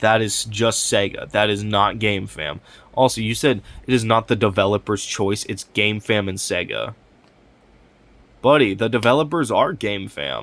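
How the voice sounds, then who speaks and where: Vocal fry runs through a man's medium-pitched voice as he speaks at a fairly slow pace with lively intonation. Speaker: gaming commentary youtuber. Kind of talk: reaction commentary. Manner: casual.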